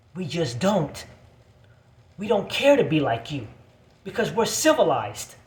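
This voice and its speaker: Amid audible room echo, a man with a high pitch speaks in an animated tone with very wide pitch swings and long, frequent pauses. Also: fairly slow pace. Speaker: video blogger. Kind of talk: angry rant.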